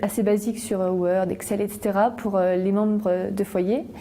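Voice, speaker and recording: A woman keeps a moderate pace while noticeable background noise runs underneath. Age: 20s. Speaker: student volunteer. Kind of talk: interview testimony. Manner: hesitant, many fillers.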